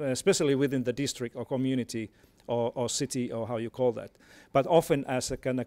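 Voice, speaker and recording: A man with a Finnish accent speaks at a very fast pace, with a medium pitch and fairly even intonation. The recording is very clean, with a silent background and a dry, close sound with no echo. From Finland. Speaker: education expert. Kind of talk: panel talk. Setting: stage with audience. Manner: halting, many repetitions.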